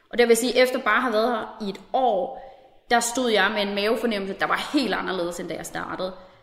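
Very fast speech from a woman at a fairly high pitch with ordinary pitch variation, amid noticeable background noise and audible room echo. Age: 20s. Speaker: officer cadet. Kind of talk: recorded interview.

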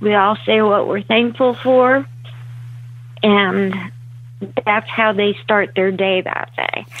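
With an American accent, a woman of medium pitch speaks very slowly, leaving long, frequent pauses and making very wide pitch swings. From Pennsylvania, Reading area. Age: 40s. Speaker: recovering alcoholic, army veteran. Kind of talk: telephone interview, personal testimony. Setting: phone call.

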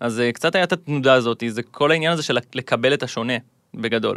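On a very clean recording with a silent background and a dry, close sound with no echo, a medium-pitched man speaks at a very fast pace with ordinary pitch variation. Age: 20s. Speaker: gamer and content creator. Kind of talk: casual interview.

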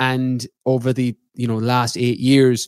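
This man speaks with an Irish accent at a medium pitch. His intonation is monotone and flat. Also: dry, close sound with no echo. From west of Ireland. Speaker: nutrition and fitness coach, author, podcaster. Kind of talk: casual interview chat.

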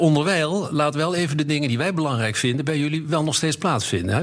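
A man talks at a very fast pace with lively intonation and a fairly high pitch. Noticeable background noise is present. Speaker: chief economist. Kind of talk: casual chat.

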